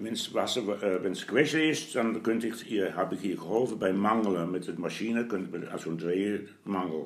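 With hardly any pauses, a man talks at a fairly slow pace and a fairly low pitch, showing ordinary pitch variation amid audible room echo. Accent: Dutch. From Netherlands. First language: Dutch (speaking German). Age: 80s+. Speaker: grandfather, retired printer. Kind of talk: interview. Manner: halting.

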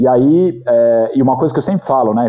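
A man with a São Paulo accent speaks at a medium pitch with ordinary pitch variation and a dark, mellow tone, in a dry, close sound with no echo. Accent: Paulistano Brazilian Portuguese. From São Paulo, Brazil (Zona Norte). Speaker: company executive. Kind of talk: interview.

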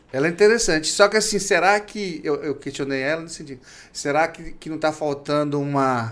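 An unremarkable speaking voice moves at a fairly quick pace with ordinary pitch variation. Its loudness swings widely. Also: man, fairly high pitch for a man. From Minas Gerais, Brazil. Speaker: podcast host, professor. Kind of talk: interview.

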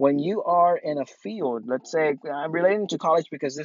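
With ordinary pitch variation, the delivery keeps a moderate pace. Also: man. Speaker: podcast host and filmmaker. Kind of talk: casual monologue. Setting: outdoors while running. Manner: halting, many fillers.

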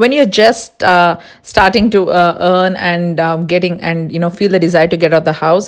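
This woman has an Indian accent. She speaks at a medium pitch and moderate pace. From India, Andhra Pradesh (Kurnool). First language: Tulu. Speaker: amateur photographer and software worker. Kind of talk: casual chat. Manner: hesitant, frequent fillers.

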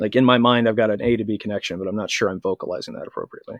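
The sound is dry and close, without any echo. A man is talking with an American accent. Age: 30s. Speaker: podcast host and online group moderator. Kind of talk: casual interview. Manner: halting, frequent word repetitions.

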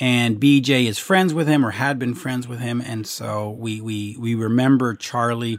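A man speaks in an unremarkable speaking voice at medium pitch. He talks at a fairly slow pace with ordinary pitch variation. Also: hardly any pauses. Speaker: podcast host. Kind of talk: casual interview.

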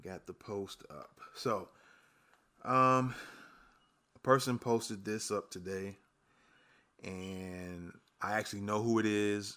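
A man with an American accent speaks very slowly in a bright, sharp tone at a fairly low pitch, leaving long, frequent pauses. His loudness swings widely on a very clean recording with a silent background. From New York, the Bronx. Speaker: podcast host. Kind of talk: casual solo commentary.

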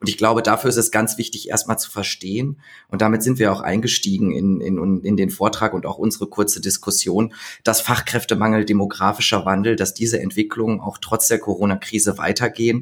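Keeping his intonation fairly even, a man talks at a fairly quick pace. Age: 30s. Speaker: labour market expert. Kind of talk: podcast interview.

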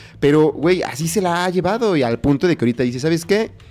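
With music in the background, a man is talking. His pace is very fast. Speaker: podcast co-host. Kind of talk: casual chat. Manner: animated, laughing often.

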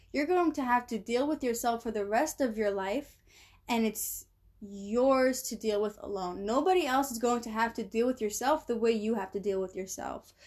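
Over a quiet background, a woman with a normal speaking voice talks at a moderate pace, her fairly high pitch showing ordinary variation. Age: 20s. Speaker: self-help podcast host. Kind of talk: solo monologue on psychology.

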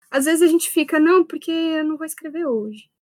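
The speech moves at a fairly quick pace with ordinary pitch variation and a dry, close sound with no echo. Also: woman. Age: 20s. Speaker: writer. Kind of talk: casual chat.

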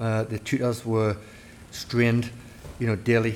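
A man with a Geordie accent. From northeast England, near Newcastle. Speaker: army officer. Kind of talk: interview. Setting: officers' mess.

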